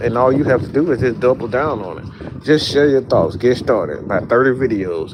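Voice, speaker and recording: A man with a Southern US accent, medium pitch and ordinary pitch variation, against noticeable background noise. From US South. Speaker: sports content creator. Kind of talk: motivational talk to camera. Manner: casual, animated.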